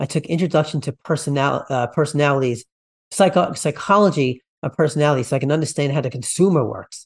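Over a quiet background, somewhat breathy speech races along at a very fast pace with ordinary pitch variation. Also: man, fairly high pitch for a man. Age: 50s. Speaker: podcast host. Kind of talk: interview conversation.

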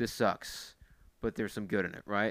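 Recorded very cleanly against a silent background, the speech proceeds at a moderate tempo. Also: man. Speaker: drum corps staff member. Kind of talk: casual chat. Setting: in person, late at night.

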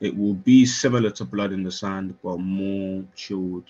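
Music plays in the background as a man with a London accent speaks fairly slowly at a very deep, low pitch. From Northwest London. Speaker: music artist and producer. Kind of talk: casual interview chat.

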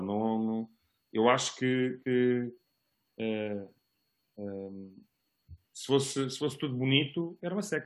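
Pitched in the medium range, the man's voice shows ordinary pitch variation. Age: 40s. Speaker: parent guest. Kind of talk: casual chat. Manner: halting.

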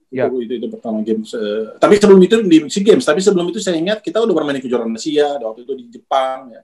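A man speaks at a very fast pace with hardly any pauses, his voice fairly high in pitch. He makes very wide pitch swings and big swings in loudness. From Manado, North Sulawesi, Indonesia. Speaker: basketball coach. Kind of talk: casual interview.

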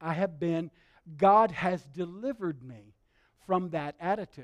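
Here a man talks with a Southern US accent. The sound is dry and close with no echo, on a very clean recording with a silent background. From Alabama. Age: 60s. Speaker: pastor. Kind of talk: sermon.

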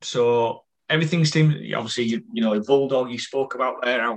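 With a northern English accent, a man speaks at a medium pitch. He keeps a moderate pace and fairly even intonation. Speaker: fan event host. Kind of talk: casual interview. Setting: video call.

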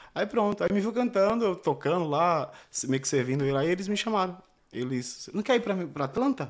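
A man's high voice with very wide pitch swings at a fairly quick pace, in a very clean recording with a silent background. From Pernambuco, Brazil (Recife area). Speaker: singer-songwriter. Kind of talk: interview. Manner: shy.

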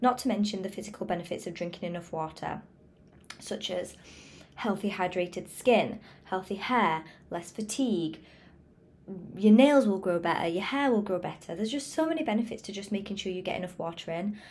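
A woman with a somewhat breathy, medium-pitched voice talks at a fairly quick pace. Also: ordinary pitch variation. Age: 20s. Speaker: wellness podcaster. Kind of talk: motivational monologue.

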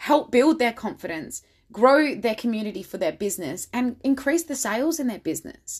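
A woman speaks with lively intonation on a very clean recording with a silent background.

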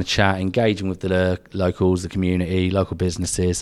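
Someone talks at a very fast pace in a southern English accent. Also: man. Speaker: podcast co-host. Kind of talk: casual banter chat. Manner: jokey, bantering.

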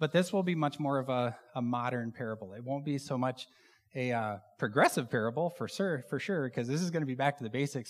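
A man with a plain, everyday voice speaks at a fairly quick pace, medium pitch and ordinary pitch variation, on a very clean recording with a silent background. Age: 40s. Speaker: church elder and pilot giving a sermon. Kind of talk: sermon. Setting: church stage with congregation. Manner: casual, with many filler words.

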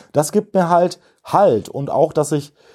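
A man speaks with a dark, mellow tone and ordinary pitch variation at a fairly slow pace. The recording is very clean, with a silent background. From Germany, Kreis Gütersloh (Westphalia). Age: 30s. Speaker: recovering addict, peer support activist. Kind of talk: personal testimony interview.

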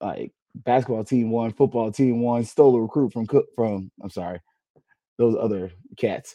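At a moderate pace, a man speaks in a gravelly voice with a dark, mellow tone and ordinary pitch variation.

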